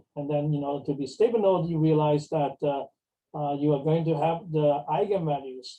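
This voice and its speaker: A man's fairly high, somewhat breathy voice with a dark, mellow tone and fairly even intonation. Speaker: mathematics professor. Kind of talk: lecture. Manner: fast; halting, many fillers.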